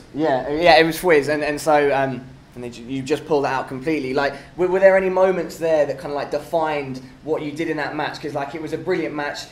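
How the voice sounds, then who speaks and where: Over noticeable background noise and audible room echo, a man with a British accent and a fairly high pitch speaks at a very fast pace with fairly even intonation and big swings in loudness. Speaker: esports interviewer. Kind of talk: post-match interview. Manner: casual, filler-heavy.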